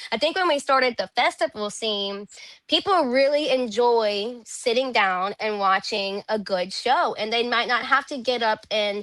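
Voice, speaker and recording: Against a quiet background, a woman with a fairly high pitch talks at a fairly slow pace. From Louisiana (Zachary, near Baton Rouge). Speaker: country singer. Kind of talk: interview conversation. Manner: casual, filler-heavy.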